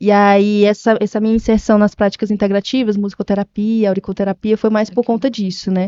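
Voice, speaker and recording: At a fairly quick pace with hardly any pauses, a woman speaks in a medium pitch with monotone, flat intonation. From Brazil, Maranhão and Piauí (Northeast). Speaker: nurse and health business owner. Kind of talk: podcast interview. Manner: halting, with many fillers.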